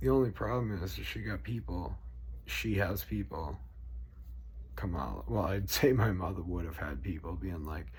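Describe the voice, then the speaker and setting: A man with a Boston accent speaks at a moderate pace in a very deep, low pitch, using very wide pitch swings and vocal fry. Audible room echo surrounds his voice. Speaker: political vlogger. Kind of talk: casual rant. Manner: animated.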